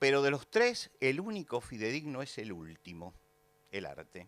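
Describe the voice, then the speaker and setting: A man's voice moves through very wide pitch swings. The recording is very clean, with a silent background. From Argentina. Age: 70s. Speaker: pastor. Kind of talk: lecture. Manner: hesitant fillers (eh, este).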